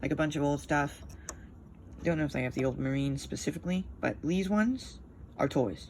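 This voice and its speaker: Her pitch very deep and low, a woman speaks at a fairly quick pace in a somewhat breathy voice, with ordinary pitch variation and long, frequent pauses. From Canada, Ontario near Quebec. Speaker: miniature hobbyist YouTuber. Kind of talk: casual hobby showcase monologue. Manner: fast, rambling with fillers.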